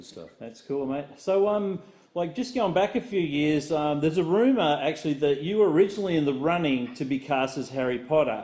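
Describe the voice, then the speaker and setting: Talking at a fairly quick pace with hardly any pauses, a man with an Australian accent has a fairly high pitch and a dark, mellow tone. His intonation is lively, and his loudness swings widely. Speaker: podcast host. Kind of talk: casual chat.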